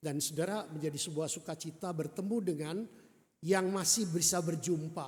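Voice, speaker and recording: A man speaks at a moderate pace, high in pitch and fairly even in intonation. Audible room echo surrounds him. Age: 70. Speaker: retired pastor. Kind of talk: sermon. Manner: halting.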